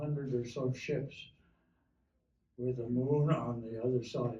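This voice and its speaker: A man speaks at a very slow pace, his voice somewhat breathy. His tone is dark and mellow. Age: 80s+. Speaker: war veteran. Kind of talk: oral history talk.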